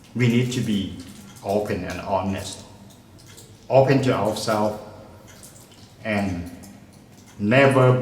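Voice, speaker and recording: There is audible room echo as a man speaks at a medium pitch. He goes at a fairly slow pace with ordinary pitch variation. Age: 60s. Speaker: retired English lecturer. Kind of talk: interview. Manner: halting.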